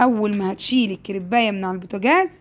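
Speaking fairly quickly in an Egyptian accent, a woman sounds animated and fairly high in pitch. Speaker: home cooking youtuber. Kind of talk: cooking tutorial.

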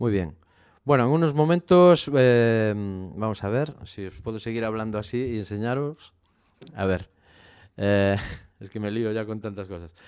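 His pitch fairly low, a man speaks at a fairly slow pace with lively intonation and long, frequent pauses over a quiet background. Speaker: YouTuber reviewing microphones. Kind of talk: unboxing review. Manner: halting, many fillers. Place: home room. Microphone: handheld.

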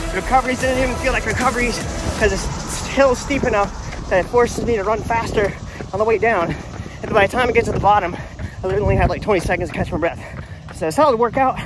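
The sound is dry with no echo, and the speaker goes at a very fast pace with ordinary pitch variation over noticeable background noise. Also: man. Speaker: runner vlogger. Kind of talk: casual vlog chat. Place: street. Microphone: phone near.

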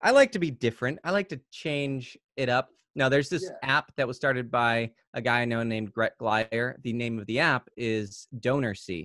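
Over a quiet background, a man with an American accent speaks at a moderate pace and medium pitch with ordinary pitch variation, the sound dry with no echo. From South Carolina (US South). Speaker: YouTuber. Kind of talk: casual interview. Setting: video call. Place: home room. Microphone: studio mic.

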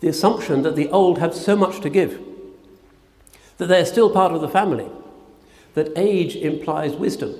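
A man's high voice at a moderate pace, with ordinary pitch variation. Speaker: speaker. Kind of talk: sermon. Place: church. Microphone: podium.

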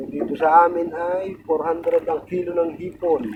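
Over noticeable background noise, a man with a high pitch speaks with ordinary pitch variation. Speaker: fisherman vlogger. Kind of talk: casual vlog narration. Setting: outdoors at sea on a boat.

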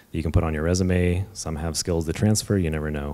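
Against a quiet background, a man with a Californian accent speaks at a moderate pace in a very deep, low voice with a dark, mellow tone. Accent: Californian American English. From Bay Area, California. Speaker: software engineer, game industry; panelist. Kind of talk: panel talk. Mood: relaxed, candid. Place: hall. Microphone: handheld.

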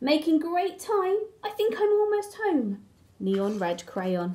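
Using a put-on character voice, a woman speaks at a slow pace with a high pitch, big pitch swings and a dark, mellow tone.

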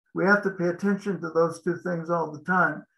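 A man speaks in a high pitch with a bright, sharp tone. His intonation stays fairly even. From Montana, US. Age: 70s. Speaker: franchise business consultant; interviewee. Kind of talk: interview. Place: home room.

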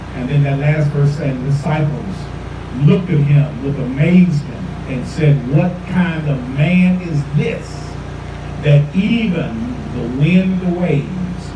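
Over noticeable background noise and audible room echo, a man speaks very slowly with fairly even intonation and long, frequent pauses. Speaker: pastor. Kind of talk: sermon. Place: street.

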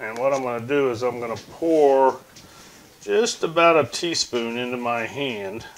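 The pitch varies in an ordinary way. The pace is fairly slow. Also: man. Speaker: home cook host. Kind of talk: tutorial. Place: kitchen. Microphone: lapel.

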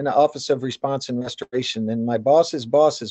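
A man at a moderate pace with fairly even intonation, a dry sound with no echo and a quiet background. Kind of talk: webinar welcome remarks. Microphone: video call.

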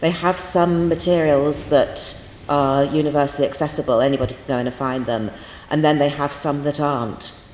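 A woman's very deep, low voice at a moderate pace, fairly even in intonation, with big swings in loudness, audible room echo and light background noise. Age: 50s. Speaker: university lecturer. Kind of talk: lecture. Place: hall. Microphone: handheld.

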